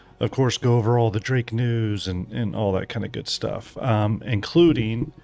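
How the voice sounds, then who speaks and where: Music plays in the background as a man talks at a moderate pace. His voice has a fairly low pitch and fairly even intonation. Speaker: gaming streamer. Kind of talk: live stream chat. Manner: hesitant, many fillers.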